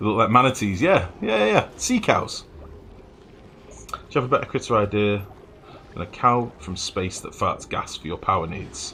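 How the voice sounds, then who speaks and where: With a northern English accent, a man talks at a moderate pace, his loudness swinging widely and his speech broken by long, frequent pauses. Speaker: video game streamer. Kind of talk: live gameplay commentary. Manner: casual, chatty.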